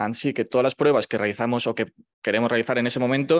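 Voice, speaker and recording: Medium-pitched male voice with fairly even intonation, dry and close with no echo, over a quiet background. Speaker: medical resident in ENT. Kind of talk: presentation. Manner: fast.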